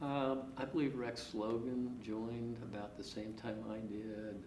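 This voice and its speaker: A man with an American accent speaks very slowly. Background noise is noticeable. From northeast Kansas. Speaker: custom harvester. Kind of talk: interview. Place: empty room.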